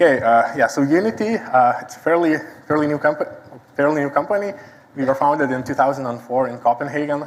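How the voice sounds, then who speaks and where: Someone with a Lithuanian accent talks at a very fast pace with ordinary pitch variation. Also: man, fairly high pitch for a man. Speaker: site reliability engineer. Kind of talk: conference talk. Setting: stage with audience.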